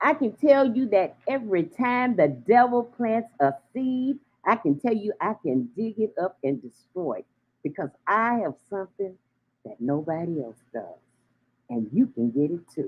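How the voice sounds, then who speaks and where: Animated in tone, a woman's voice makes very wide pitch swings and big swings in loudness. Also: medium pitch for a woman, fairly slow pace. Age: 70s. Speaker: radio host. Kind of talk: casual chat. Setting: live stream.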